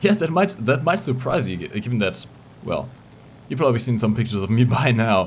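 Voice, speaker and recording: A man's somewhat breathy voice comes through at medium pitch. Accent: non-native. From Portugal. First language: Portuguese. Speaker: gaming YouTuber. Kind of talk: casual vlog. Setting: home recording at PC. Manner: halting, many repetitions; animated.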